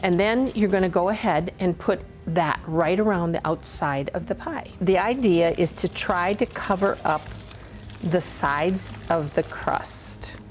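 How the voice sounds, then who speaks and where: A woman with a fairly low pitch talks while music plays behind her. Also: ordinary pitch variation. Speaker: grandmother home cook. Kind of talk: cooking demonstration and family memories. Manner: lively.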